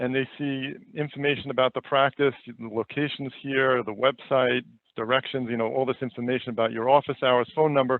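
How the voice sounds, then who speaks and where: The speaker has a New York accent, a fairly quick pace and fairly even intonation. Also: man. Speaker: online reputation specialist. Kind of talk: webinar presentation. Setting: webinar. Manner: halting, many fillers and repeats.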